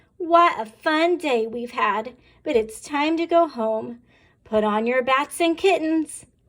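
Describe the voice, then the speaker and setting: A raised, projected, high-pitched put-on character voice at a fairly slow pace. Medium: read story. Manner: cheerful, playful.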